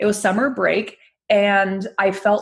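In an American accent, a woman speaks at a fairly slow pace with a somewhat breathy voice. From Northern California, Bay Area. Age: 20s. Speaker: anxiety coach and speaker. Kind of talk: interview.

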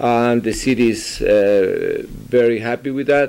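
Speaking very slowly, a man delivers his words. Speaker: community news host and interpreter; community news host. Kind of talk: interview with live interpretation. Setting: mayor's office. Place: office. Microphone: podium.

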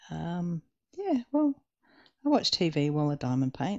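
The background is quiet. A woman talks at a moderate pace with an Australian accent. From Western Australia. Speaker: diamond painting YouTuber. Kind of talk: casual chat while crafting. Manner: casual, chatty, with hesitations.

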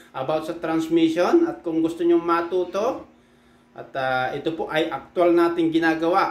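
Audible room echo surrounds a man's high-pitched voice as he talks with fairly even intonation. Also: moderate pace. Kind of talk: casual tutorial vlog. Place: workshop. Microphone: phone near.

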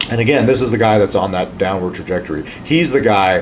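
A man speaks at a fairly quick pace while noticeable background noise carries on around him. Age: 50s. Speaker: emergency physician. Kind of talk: health talk to camera. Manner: casual, with fillers. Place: office. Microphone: studio mic.

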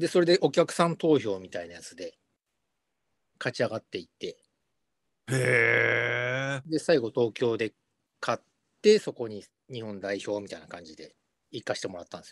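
A man talks at a moderate pace, his loudness swinging widely and his speech broken by long, frequent pauses. The sound is dry with no echo, over a quiet background. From Japan. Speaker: rock bassist and singer; guest. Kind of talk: casual interview. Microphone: video call.

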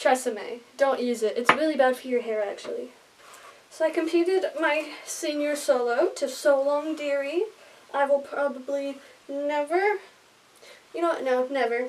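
A woman speaks at a moderate pace in a high pitch. Her pitch varies in an ordinary way. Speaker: dancer vlogger. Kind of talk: casual vlog chat. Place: home room. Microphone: phone near.

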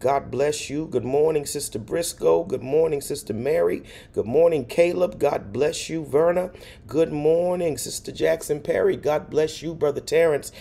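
Over music in the background, a man speaks at a moderate pace. His pitch variation is ordinary. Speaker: pastor. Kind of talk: livestream greetings to viewers. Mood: warm, cheerful. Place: home room. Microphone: phone near.

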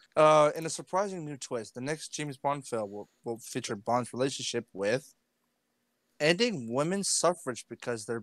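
Lively intonation at a moderate pace, with a dry sound, no echo and a quiet background. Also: man. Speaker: gamer streaming with friends. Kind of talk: casual game commentary, reading cards aloud. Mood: playful, laughing. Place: home room. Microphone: headset.

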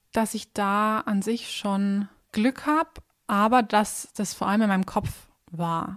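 Recorded very cleanly against a silent background, with a dry, close sound and no echo, a woman speaks at a very slow pace in a fairly high pitch with ordinary pitch variation. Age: 20s. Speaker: dentist. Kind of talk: casual chat.

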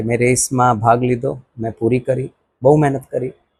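Here a man speaks at a medium pitch. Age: 50s. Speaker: amateur ultramarathon runner. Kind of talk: interview statement.

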